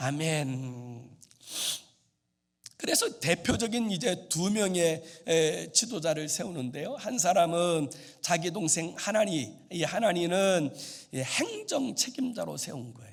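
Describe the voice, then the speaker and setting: This man speaks at a very slow pace in a high pitch, with very wide pitch swings and big swings in loudness. Audible room echo surrounds his voice. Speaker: pastor. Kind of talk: sermon. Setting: church.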